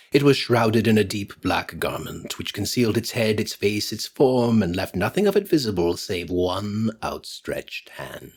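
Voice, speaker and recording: A normal speaking voice belonging to a man, moderate in pace and medium in pitch. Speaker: actor. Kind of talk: sleep story.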